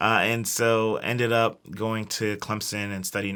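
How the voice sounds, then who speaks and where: Speaking with an American accent, a man has a bright, sharp tone. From US South, Columbia, South Carolina. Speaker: startup founder and CEO. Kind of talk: interview.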